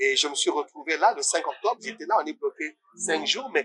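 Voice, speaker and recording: A fairly quick-paced male voice, its dry, close sound carrying no echo. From Senegal. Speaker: artist and coach. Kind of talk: interview. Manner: hesitant, many fillers.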